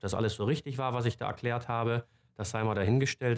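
Over a quiet background, a man speaks with fairly even intonation. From northern Germany, Stade near Hamburg; northern Germany. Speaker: politician. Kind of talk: personal testimony. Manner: hesitant, many filler sounds. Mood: calm, reflective. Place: office.

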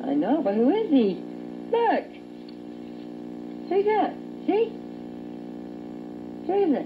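Faint background noise sits behind a woman speaking slowly at an extremely high pitch with big pitch swings.

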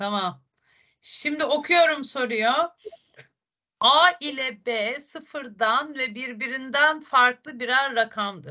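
In a raised, projected voice, a woman speaks at a very slow pace with a high pitch, a bright, sharp tone and ordinary pitch variation. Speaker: math teacher. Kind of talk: online lesson. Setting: video call. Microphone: video call.

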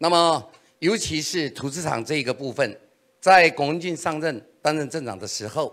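A man's fairly high voice with lively intonation at a moderate pace, over a quiet background. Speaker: political candidate; candidate. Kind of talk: campaign policy speech. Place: meeting room. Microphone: handheld.

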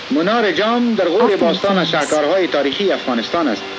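The speech comes at a very fast pace. Noticeable background noise sits behind it. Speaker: newsreel narrator. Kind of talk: newsreel narration. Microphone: old recording.

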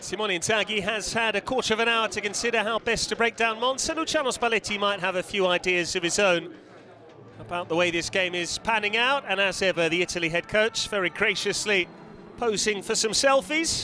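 With noticeable background noise behind him, a man uses a raised, projected voice, high in pitch with ordinary pitch variation, at a fairly quick pace. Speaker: football commentator. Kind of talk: live sports commentary. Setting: stadium commentary.

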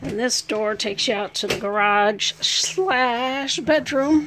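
The woman talks at a very slow pace. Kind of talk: casual home tour narration. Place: home room. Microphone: phone near.

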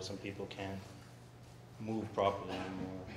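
Over noticeable background noise, a man with a fairly low pitch speaks at a fairly quick pace. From Kahnawake, Quebec. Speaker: first responder, council candidate. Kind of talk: campaign speech. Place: hall. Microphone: handheld.

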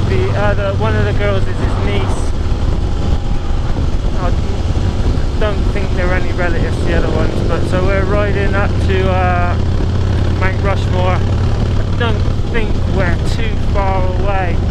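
Loud noise fills the background, and the sound is dry with no echo. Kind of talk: casual vlog chat. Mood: mildly disappointed about weather. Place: motorbike.

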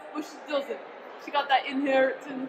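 A woman speaks over noticeable background noise. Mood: playful, dramatic. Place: hall. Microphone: phone near.

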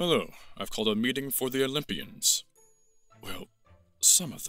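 Over faint music in the background, a man uses a put-on character voice at a fairly high pitch and a moderate pace. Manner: bossy, angry.

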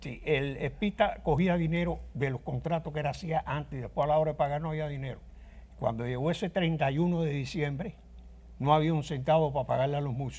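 A man's fairly high, somewhat breathy voice at a fairly quick pace, with fairly even intonation. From Cuba (Guanabacoa, Havana); Cuba. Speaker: trumpet player. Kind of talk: interview. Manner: halting. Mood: somber storytelling. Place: studio.

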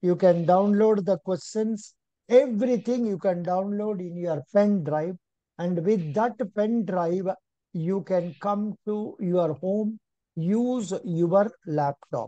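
A man speaks at a very slow pace with a high pitch and a dark, mellow tone. The background is quiet. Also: ordinary pitch variation, dry sound with no echo. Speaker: exam coaching teacher. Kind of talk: lecture. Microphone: video call.

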